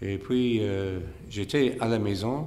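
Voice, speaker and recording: A fairly low-pitched male voice with a non-native accent and ordinary pitch variation, with audible room echo. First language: English (speaking French). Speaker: monk, spiritual teacher. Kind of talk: lecture. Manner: halting, many hesitations.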